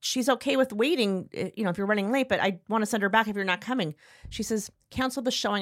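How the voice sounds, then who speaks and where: On a very clean recording with a silent background, a woman talks at a very fast pace in an animated tone with ordinary pitch variation. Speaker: podcast host. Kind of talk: casual chat between friends. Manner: animated, chatty.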